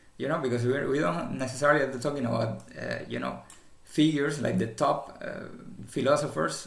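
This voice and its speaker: A man speaks at a very fast pace. Room echo is audible. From former communist country. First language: not English. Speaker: commentator. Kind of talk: casual commentary monologue. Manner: halting, many fillers and repetitions.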